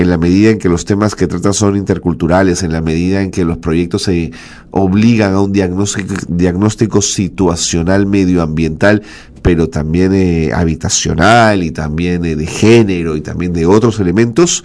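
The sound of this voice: With few pauses and fairly even intonation, a man talks in a low pitch with a slightly mellow tone. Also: moderate pace.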